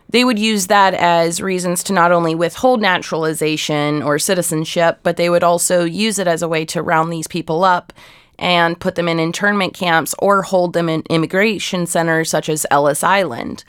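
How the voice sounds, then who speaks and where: Woman with a plain, everyday voice, fairly low in pitch and fairly even in intonation, at a moderate pace with hardly any pauses in a very clean recording over a silent background. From Ohio, US Midwest. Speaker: archive researcher. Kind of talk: interview.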